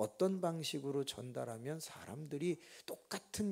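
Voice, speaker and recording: Lively intonation from a man with a fairly high voice. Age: 60s. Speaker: pastor. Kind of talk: sermon. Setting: church. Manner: slow.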